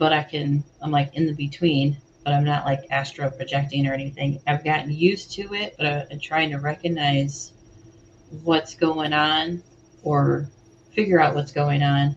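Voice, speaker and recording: A woman talks at a moderate pace in a very deep, low voice that is somewhat breathy. Her intonation stays flat and monotone. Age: 40s. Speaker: guest in group discussion. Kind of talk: casual chat.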